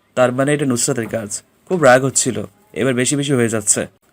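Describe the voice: This clip is plain reading aloud.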